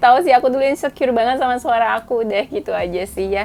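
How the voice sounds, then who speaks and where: Very fast and high-pitched, a woman talks with lively intonation. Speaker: tarot reader. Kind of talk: casual chat to camera; tarot reading. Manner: casual, chatty.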